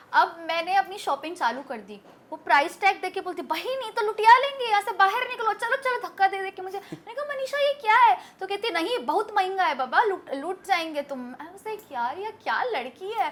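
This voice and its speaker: Speaking with an Urdu accent, a woman uses an animated tone and an extremely high pitch with very wide pitch swings and big swings in loudness, keeping a moderate pace with hardly any pauses. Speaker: interview guest, social media personality. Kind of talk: interview.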